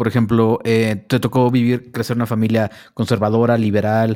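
A man talks at a fairly quick pace and medium pitch in a dark, mellow tone, recorded very cleanly against a silent background. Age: 40s. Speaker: podcast host. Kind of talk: interview.

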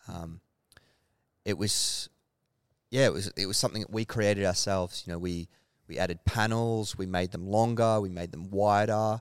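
In an Australian accent, a man speaks at a moderate pace and fairly low pitch with fairly even intonation and long, frequent pauses. The recording is very clean with a silent background and sounds dry and close with no echo. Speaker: clothing brand founder. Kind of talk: casual interview. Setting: warehouse with tin roof.

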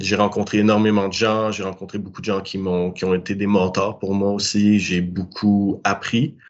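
A man's fairly low voice, monotone and flat, at a moderate pace with hardly any pauses. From Quebec. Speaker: cannabis grower. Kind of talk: interview. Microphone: laggy connection.

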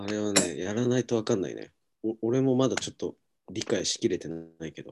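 A man with a normal speaking voice talks fairly quickly at a fairly low pitch, with ordinary pitch variation, big swings in loudness and a dry, close sound with no echo. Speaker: podcast host. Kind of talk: casual chat, podcast intro. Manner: relaxed, friendly.

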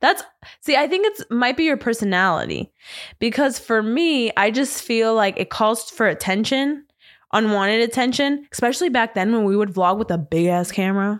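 In a very clean recording with a silent background, a woman talks in an animated tone with lively intonation, a fairly high pitch, very even loudness and a moderate pace. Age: 20s. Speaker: podcast co-host. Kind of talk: casual chat. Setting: studio, also streamed live on Instagram.

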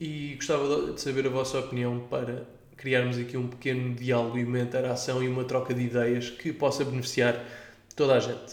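A man with a European Portuguese accent speaks fairly quickly at a medium pitch. His intonation is monotone and flat, and audible room echo is present. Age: 20s. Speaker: podcast host. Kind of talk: solo monologue podcast.

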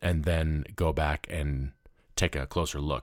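A man speaks at a very slow pace in a very deep, low pitch with fairly even intonation. The recording is very clean, with a silent background. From US South, Memphis, Tennessee. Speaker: podcast host and radio host. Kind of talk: solo news commentary. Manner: casual, conversational with laughs.

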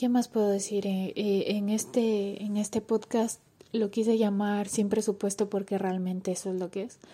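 In a very clean recording with a silent background, a woman speaks at a medium pitch in a dark, mellow tone with flat, monotone intonation. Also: moderate pace. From Ecuador. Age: 20s. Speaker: podcaster. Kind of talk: casual monologue. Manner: halting.

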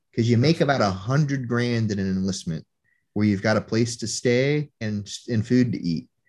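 With lively intonation and a moderate pace, a man uses a normal speaking voice at medium pitch against a quiet background. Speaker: Marine veteran. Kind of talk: casual chat.

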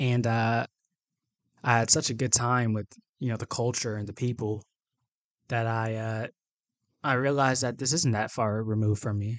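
A man with an American accent talks at a moderate pace and medium pitch, with fairly even intonation. Long, frequent pauses break up his speech over a quiet background. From US South, Atlanta, Georgia. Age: 20s. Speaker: podcast host, university student. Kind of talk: solo podcast introduction.

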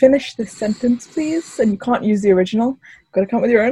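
Somewhat breathy and upbeat in tone, a woman speaks at a fairly high pitch with lively intonation. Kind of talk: radio dj patter. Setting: video call interview. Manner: upbeat, chatty radio host, bright and welcoming.

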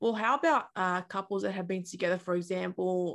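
The recording is very clean, with a silent background. A woman talks in an Australian accent. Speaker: YouTuber and journalist. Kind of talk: interview; casual vlog intro.

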